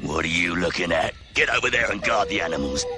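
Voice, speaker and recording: A man does a put-on character voice at a very fast pace. Background noise is clearly audible. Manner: gruff, bossy.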